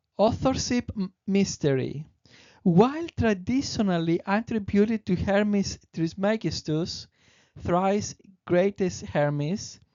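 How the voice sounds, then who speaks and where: Speaking with a Greek accent, a woman goes at a very slow pace with lively intonation. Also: medium pitch for a woman. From Greece. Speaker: presenter of spiritual teachings. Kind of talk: presentation reading; casual aside. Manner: halting with self-corrections.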